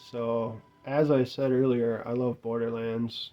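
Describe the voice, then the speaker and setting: Speaking very slowly, a man keeps his intonation monotone and flat. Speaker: gaming youtuber. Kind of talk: casual video review monologue. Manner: casual, hesitant.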